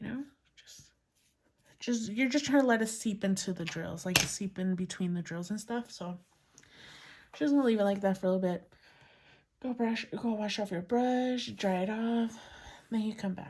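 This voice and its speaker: Somewhat breathy and fairly high-pitched, a woman speaks at a moderate pace with ordinary pitch variation, big swings in loudness, and long, frequent pauses. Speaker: crafting youtuber. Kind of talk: tutorial. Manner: casual.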